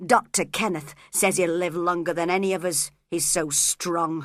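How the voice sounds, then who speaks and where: A put-on character voice growls at middle pitch and a moderate pace on a very clean recording with a silent background. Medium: read story. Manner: muttering, bitter.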